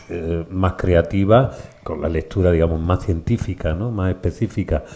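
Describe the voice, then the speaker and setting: With a dark, mellow tone and a very deep, low pitch, a man talks at a moderate pace using fairly even intonation. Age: 60s. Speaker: bookshop event host, interviewer. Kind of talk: public conversation with author.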